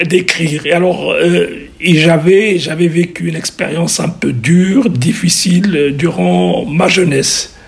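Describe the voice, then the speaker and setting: Over noticeable background noise, a high-pitched man speaks at a fairly slow pace with ordinary pitch variation. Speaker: surgeon and historical novelist. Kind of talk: radio interview.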